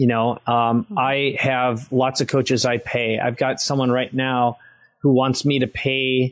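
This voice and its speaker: A man with an American accent speaks in a normal speaking voice at a medium pitch. His pace is fairly slow, his intonation fairly even, and the background quiet. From Minnesota, US Midwest. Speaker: entrepreneur and author. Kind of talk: interview. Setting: podcast interview.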